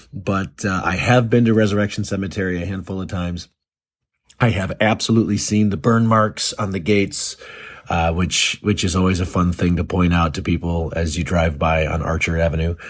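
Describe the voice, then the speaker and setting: A man with a very deep voice and an American accent, ordinary pitch variation, and a fairly quick pace, in a very clean recording with a silent background. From Chicago area, south suburbs. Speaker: listener shout-out contributor. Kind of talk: recorded voice message. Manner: casual, with frequent fillers and repetitions.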